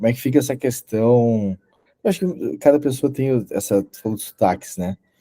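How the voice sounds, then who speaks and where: A man with a dark, mellow tone speaks at a medium pitch and a moderate pace, his intonation lively. His loudness swings widely, and the sound is dry and close with no echo. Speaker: podcast host. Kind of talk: casual interview conversation.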